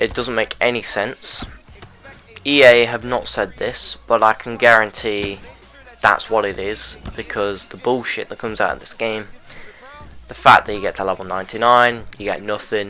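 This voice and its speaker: Medium-pitched male voice at a moderate pace, flat and monotone, with big swings in loudness and music in the background. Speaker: gaming YouTuber. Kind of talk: gameplay commentary.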